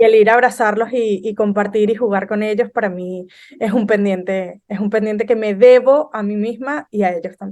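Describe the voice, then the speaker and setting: A normal speaking voice from a woman, fairly high in pitch, with fairly even intonation at a moderate pace. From Venezuela. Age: 30s. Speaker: business consultant. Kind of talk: podcast interview.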